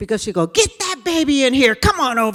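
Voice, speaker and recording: Her bright, sharp voice swings very widely in pitch as the woman speaks. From California. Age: 60s. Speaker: diversity trainer. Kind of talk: lecture.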